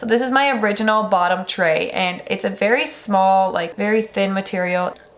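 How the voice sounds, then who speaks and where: Medium pitch from a woman, at a moderate pace with ordinary pitch variation and noticeable background noise. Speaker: beauty and lifestyle vlogger. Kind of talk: casual product review vlog. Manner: chatty, many fillers like 'like'.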